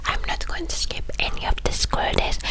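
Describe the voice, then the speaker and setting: Someone whispers over noticeable background noise. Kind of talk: ASMR rambling talk. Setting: close microphone. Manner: whispered.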